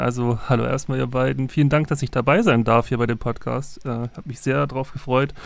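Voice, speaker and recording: A man at medium pitch, talking at a fairly quick pace with hardly any pauses and fairly even intonation. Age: 30s. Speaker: sound engineer and musician. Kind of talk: podcast conversation. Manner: halting, many fillers.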